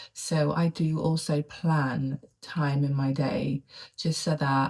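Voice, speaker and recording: A soft-spoken woman with a very deep, low pitch, a dark, mellow tone, somewhat breathy delivery and fairly even intonation. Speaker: lifestyle vlogger. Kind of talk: casual vlog monologue. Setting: home study. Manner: quiet, soft-spoken.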